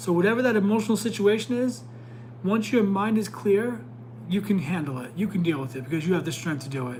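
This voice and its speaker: A man talks at a very fast pace with a high pitch and very wide pitch swings. Audible room echo surrounds his voice. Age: 40s. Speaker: tarot reader and psychic. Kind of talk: live stream tarot reading. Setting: live stream. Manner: stumbles over words.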